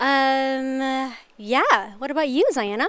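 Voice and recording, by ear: A woman speaks slowly in a high pitch with ordinary pitch variation. Her tone is fairly bright, clear and smooth.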